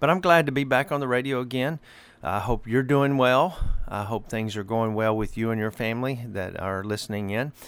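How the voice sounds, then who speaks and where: A man with an Arkansas accent speaks at medium pitch and moderate pace with ordinary pitch variation, recorded very cleanly against a silent background. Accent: Southern US (Arkansas). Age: 60s. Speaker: pastor. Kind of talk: radio sermon. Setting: radio broadcast.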